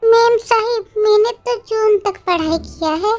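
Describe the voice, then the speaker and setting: The speaker is a woman doing a put-on character voice. She talks fairly slowly. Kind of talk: comic overacting. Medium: read story. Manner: rambling, theatrical.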